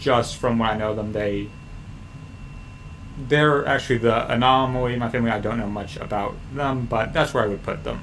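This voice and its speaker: A man's medium-pitched voice with an American accent, moderate pace and fairly even intonation, with audible room echo. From US Midwest (Missouri, Chicago). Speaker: history streamer. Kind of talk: casual livestream chat. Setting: livestream with screen share. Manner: loud.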